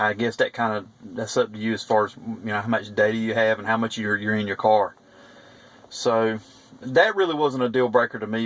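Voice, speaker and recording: A man with a Southern US accent, medium pitch, fairly quick pace and fairly even intonation. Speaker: private investigator reviewing car stereo. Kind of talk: product review. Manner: halting, many fillers.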